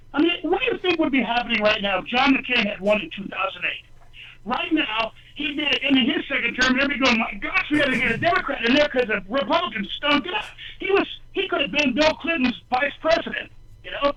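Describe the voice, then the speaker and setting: A man speaks in a raised, projected voice at an extremely high pitch, with lively intonation. His pace is fairly quick, and there is noticeable background noise. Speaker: candidate for lieutenant governor. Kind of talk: call-in talk radio. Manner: loud; animated.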